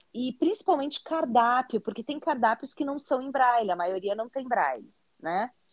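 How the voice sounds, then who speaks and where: The speaker uses a southern Brazilian accent, keeping a moderate pace with lively intonation. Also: woman, high pitch for a woman. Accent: gaúcho Brazilian Portuguese. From southern Brazil, Porto Alegre. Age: 40s. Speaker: teacher and content creator, visually impaired. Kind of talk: interview.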